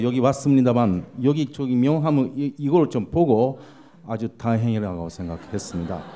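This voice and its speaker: Lively intonation runs through a man's speech. Background noise can be clearly heard. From Japan. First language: Japanese (speaking Korean). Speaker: panel discussant, visiting professor. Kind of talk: conference panel comment. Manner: halting, many fillers.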